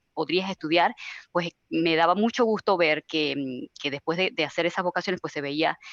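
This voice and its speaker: With a Venezuelan accent, a woman speaks at a fairly quick pace and a fairly low pitch. Her pitch varies in an ordinary way, and the sound is dry and close with no echo. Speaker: IT service manager. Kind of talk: webinar panel discussion. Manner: hesitant, many fillers.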